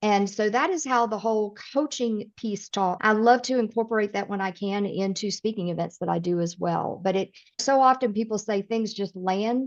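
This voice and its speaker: A woman at a medium pitch, in a Southern accent, at a moderate pace, with ordinary pitch variation and hardly any pauses. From US South (East Tennessee, Midwestern parents). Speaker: personality coach and speaker. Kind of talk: podcast interview. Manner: direct.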